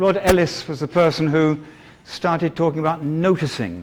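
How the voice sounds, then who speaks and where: A high-pitched man with a British accent at a moderate pace. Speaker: teacher trainer. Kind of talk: lecture. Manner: halting.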